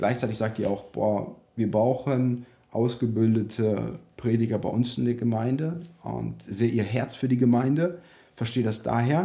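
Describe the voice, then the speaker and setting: A man's dark, mellow, medium-pitched voice at a fairly slow pace, with ordinary pitch variation. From Germany, Russian-German background. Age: 30s. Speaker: pastor. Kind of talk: interview.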